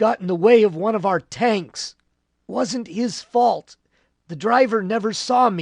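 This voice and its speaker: A put-on character voice, raspy and fairly high-pitched, delivered at a fairly slow pace. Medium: read story. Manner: calm, resigned.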